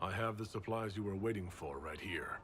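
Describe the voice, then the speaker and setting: In a raspy put-on character voice, a man talks at a fairly quick pace with a calm tone and fairly low pitch, light background noise behind him. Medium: video game. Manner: calm, direct.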